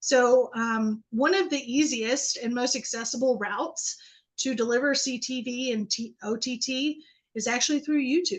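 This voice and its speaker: Her voice is high-pitched for a woman, with ordinary pitch variation and a moderate pace. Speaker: marketing presenter. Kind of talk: webinar presentation. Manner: hesitant with fillers.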